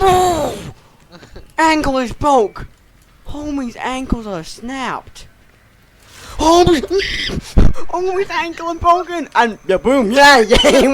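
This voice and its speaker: Over noticeable background noise, a man with an extremely high voice speaks with lively intonation. He goes at a very slow pace and leaves long, frequent pauses. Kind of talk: casual gameplay commentary. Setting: bad microphone. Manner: stutters sometimes.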